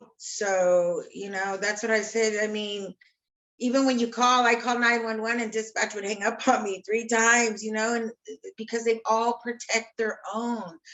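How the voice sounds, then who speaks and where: A woman's fairly high-pitched, passionate voice, monotone and flat in intonation, at a moderate pace. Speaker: sister of police shooting victim, activist. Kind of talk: emotional interview.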